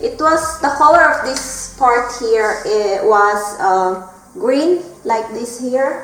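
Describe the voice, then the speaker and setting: A woman with a Filipino accent and lively intonation, over music in the background, with audible room echo. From Philippines. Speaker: vlogger. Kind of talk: casual vlog talk. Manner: halting.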